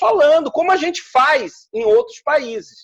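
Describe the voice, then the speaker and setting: Very wide pitch swings with a Rio de Janeiro accent. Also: man. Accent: Carioca Brazilian Portuguese. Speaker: teacher. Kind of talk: interview answer.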